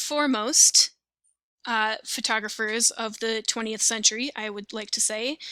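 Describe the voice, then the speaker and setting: A woman talks at a fairly slow pace with a fairly high pitch, a bright, sharp tone and big swings in loudness. The sound is dry and close, with no echo. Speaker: teacher. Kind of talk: lecture. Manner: casual, conversational.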